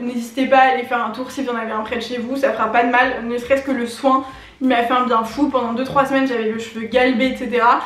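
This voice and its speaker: Amid noticeable background noise and audible room echo, a woman talks fairly quickly in a high, monotone, flat voice. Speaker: beauty YouTuber. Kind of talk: casual vlog talk to camera. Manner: fast.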